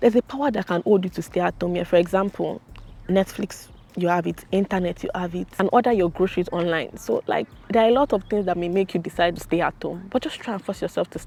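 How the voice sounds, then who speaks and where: Over music in the background, a woman with a Nigerian accent talks at a very fast pace, her medium pitch showing ordinary variation. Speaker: YouTuber, international student. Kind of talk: casual vlog monologue. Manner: animated.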